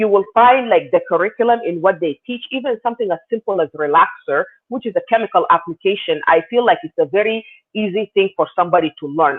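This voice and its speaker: A woman with an Arabic accent speaks at a fairly quick pace with ordinary pitch variation. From South Sudan. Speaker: beauty business owner. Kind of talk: interview.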